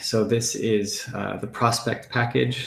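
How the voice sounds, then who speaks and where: A man's voice with vocal fry. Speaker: philosophy professor. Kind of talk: academic lecture. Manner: hesitant, many fillers.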